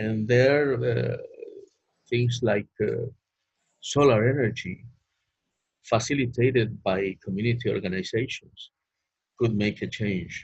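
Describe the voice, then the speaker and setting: A man with a Spanish accent, vocal fry, fairly even intonation, a fairly slow pace and long, frequent pauses. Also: medium pitch for a man. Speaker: economist panelist. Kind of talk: webinar presentation. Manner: halting.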